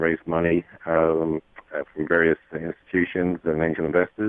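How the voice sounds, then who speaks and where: In a British accent, a man speaks with a very deep, low pitch. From England (London). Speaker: company CEO. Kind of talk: radio interview.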